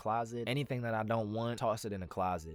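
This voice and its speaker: The voice belongs to a man. His pitch shows ordinary variation. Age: 20s. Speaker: aspiring voice actor, vlogger. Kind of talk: casual vlog. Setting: home closet booth. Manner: animated.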